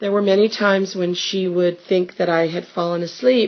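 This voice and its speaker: Talking at a fairly slow pace, a woman has a medium pitch, an unremarkable speaking voice and ordinary pitch variation. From US West Coast, Los Angeles. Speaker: family interviewer. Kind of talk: family oral history interview.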